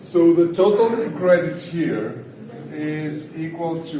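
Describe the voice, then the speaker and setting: With audible room echo and noticeable background noise, a man speaks at a very slow pace, with a fairly high pitch and ordinary pitch variation. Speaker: economics lecturer. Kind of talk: lecture. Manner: loud. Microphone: no microphone.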